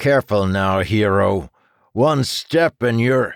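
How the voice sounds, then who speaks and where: Putting on a character voice at a medium pitch, a man speaks at a fairly slow pace with lively intonation, his sound dry and close with no echo on a very clean recording over a silent background. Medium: read story.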